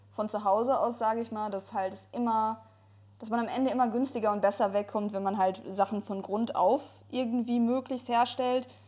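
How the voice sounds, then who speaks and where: A woman speaks at a moderate pace in a dark, mellow tone. Her intonation is fairly even. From Ruhr area, Germany. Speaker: podcast co-host. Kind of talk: casual chat.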